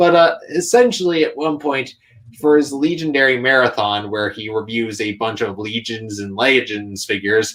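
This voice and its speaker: A man talks at a medium pitch in a plain, everyday voice. His pace is moderate and his intonation lively. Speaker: YouTube content creator and toy customizer. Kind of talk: casual interview chat. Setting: live stream.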